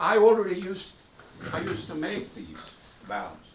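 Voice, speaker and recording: An American-accented man speaks at a moderate pace with a high pitch and lively intonation. Noticeable background noise and audible room echo are present. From New York. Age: 70s. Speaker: board member and valve engineer. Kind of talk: heated debate. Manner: animated.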